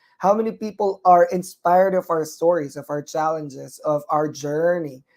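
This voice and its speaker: This speaker has a Filipino accent. The pace is moderate. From Philippines. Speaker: nurse and talk show host. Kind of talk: live online talk show. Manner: hesitant, many fillers.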